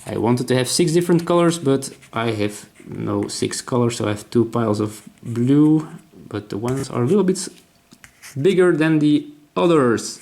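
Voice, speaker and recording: A man with a Dutch accent speaks at a medium pitch. His pace is moderate and his intonation lively. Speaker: board game designer. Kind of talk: tutorial. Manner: halting.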